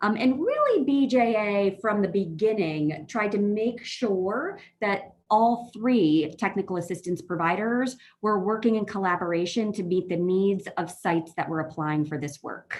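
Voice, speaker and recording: A woman's medium-pitched voice in an American accent, with ordinary pitch variation, hardly any pauses and a quiet background. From New York. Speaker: justice technical assistance consultant, former public defender. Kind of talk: presentation to a board meeting. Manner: fast.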